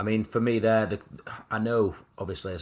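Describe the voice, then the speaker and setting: A man with a Mancunian accent talks at a fairly quick pace. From Manchester, England (Wythenshawe). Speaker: football podcast host. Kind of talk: casual chat.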